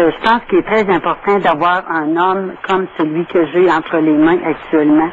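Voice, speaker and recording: A woman speaks at a moderate pace with a fairly low pitch, fairly even intonation and very even loudness. She leaves hardly any pauses, and noticeable background noise can be heard. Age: 60s. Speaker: caller. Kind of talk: call-in testimony.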